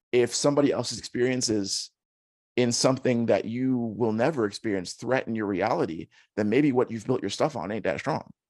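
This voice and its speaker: A man with a plain, everyday voice speaks at a fairly quick pace and a medium pitch, with ordinary pitch variation over a quiet background. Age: 30s. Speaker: content creator, former educator. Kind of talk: interview conversation.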